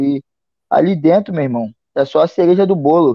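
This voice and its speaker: Lively intonation at a moderate pace. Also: man. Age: 30s. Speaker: MMA fighter. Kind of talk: casual interview.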